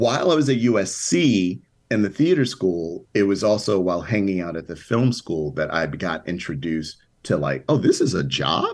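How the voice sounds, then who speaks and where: A man with an American accent talks at a moderate pace in an ordinary speaking voice. His fairly low pitch moves with lively intonation. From Chicago South Side. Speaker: TV writer and producer. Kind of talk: interview.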